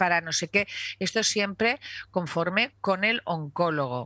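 A bright, sharp tone comes at a fairly slow pace with ordinary pitch variation, the sound dry and close with no echo in a very clean recording with a silent background. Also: woman. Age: 50s. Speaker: breast cancer survivor. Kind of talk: casual interview.

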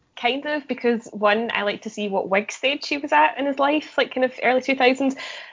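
A woman speaks at a high pitch with ordinary pitch variation and a fairly quick pace. Noticeable background noise runs underneath. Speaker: podcast co-host. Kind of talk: casual chat.

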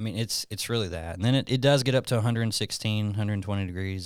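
Very fast and fairly low in pitch, a man speaks with ordinary pitch variation in a very clean recording with a silent background. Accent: Southern US. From Alabama, US South. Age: 30s. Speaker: youth pastor. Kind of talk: casual chat.

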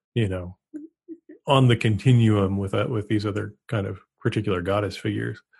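Fairly even intonation marks this man's fairly low-pitched voice. He sounds somewhat breathy and talks at a fairly quick pace. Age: 50s. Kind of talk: casual chat.

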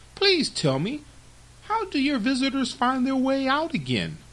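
A man's put-on character voice, extremely high for a man, with a fairly bright tone and very wide pitch swings. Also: fairly slow pace.

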